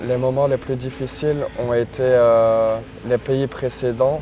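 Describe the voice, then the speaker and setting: Amid noticeable background noise, a man speaks very slowly in a monotone, flat way. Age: 20s. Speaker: long-distance cyclist. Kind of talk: interview testimony. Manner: hesitant, many fillers.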